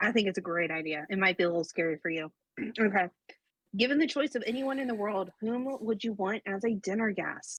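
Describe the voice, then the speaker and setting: A woman in a plain, everyday voice speaks at a fairly quick pace with lively intonation, the sound dry and close with no echo. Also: medium pitch for a woman. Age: 20s. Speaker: podcast co-host, single mom. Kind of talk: casual chat.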